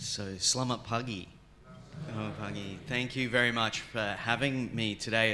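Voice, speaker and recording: With an Australian accent, the bright, sharp voice keeps fairly even intonation at a moderate pace in audible room echo. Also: man. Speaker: theology professor, keynote speaker. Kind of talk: academic lecture. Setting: conference stage with audience.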